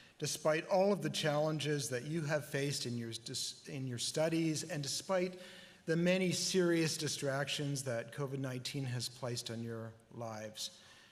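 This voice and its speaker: A man with a fairly high pitch and ordinary pitch variation speaks in an ordinary speaking voice. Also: moderate pace. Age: 60s. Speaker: convocation speaker. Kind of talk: commencement address. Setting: graduation ceremony.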